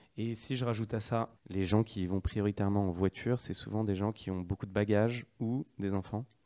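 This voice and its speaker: A man with a fairly low pitch talks at a moderate pace with fairly even intonation and hardly any pauses, the sound dry and close with no echo. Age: 30s. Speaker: startup co-founder. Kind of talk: interview. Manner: hesitant, with fillers.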